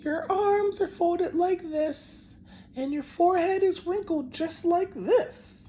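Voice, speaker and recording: Putting on a squeaky character voice, a man speaks at an extremely high pitch and a fairly slow pace. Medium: read story. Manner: soothing, slow, firm.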